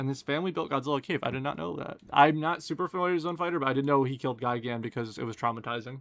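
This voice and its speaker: A man's fairly high voice at a very fast pace, with ordinary pitch variation and hardly any pauses. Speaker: gaming streamer. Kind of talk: live stream Q&A chat. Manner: sarcastic, casual.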